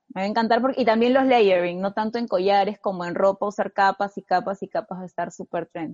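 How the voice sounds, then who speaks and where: Speaking very fast with hardly any pauses, a woman keeps a medium pitch and fairly even intonation. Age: 20s. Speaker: fashion content creator. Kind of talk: casual interview. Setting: video podcast.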